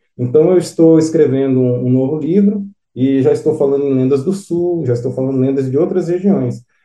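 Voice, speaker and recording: Fairly high for a man, his dark, mellow voice goes at a fairly quick pace with ordinary pitch variation. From São Paulo, Brazil. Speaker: author. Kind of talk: interview.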